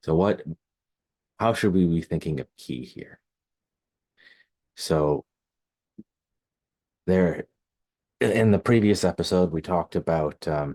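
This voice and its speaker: A man with a very deep, low voice speaks at a fairly slow pace, with ordinary pitch variation, a dark, mellow tone, long, frequent pauses and a dry, close sound with no echo. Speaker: Hebraist and linguist. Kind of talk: Bible study lecture to camera. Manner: soft-spoken.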